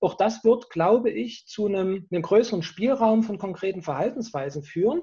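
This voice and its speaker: A man speaks at a high pitch with a dark, mellow tone. His intonation is lively and his pace moderate. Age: 50s. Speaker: professor of personnel development. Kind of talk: interview. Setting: video call.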